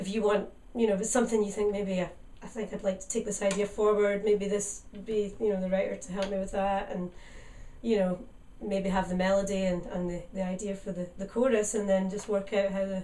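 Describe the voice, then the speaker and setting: Amid noticeable background noise and audible room echo, a woman with a Scottish accent speaks fairly quickly in a flat monotone at medium pitch. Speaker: singer-songwriter. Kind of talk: radio interview.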